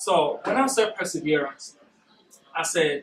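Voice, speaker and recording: A man talks with lively intonation. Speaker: workshop speaker. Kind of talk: motivational talk. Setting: corporate workshop room. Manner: naturally fast speaker.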